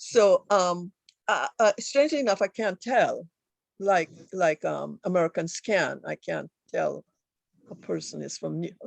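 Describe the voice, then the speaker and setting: A woman with a Trinidadian accent at a fairly slow pace, with long, frequent pauses and a dry, close sound with no echo. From Trinidad and Tobago. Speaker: author. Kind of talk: book discussion. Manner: halting.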